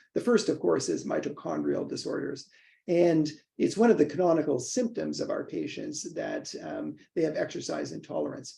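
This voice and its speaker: At a moderate pace, a man talks with a Canadian accent. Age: 60s. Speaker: professor and neurologist. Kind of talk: casual chat. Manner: halting, many fillers.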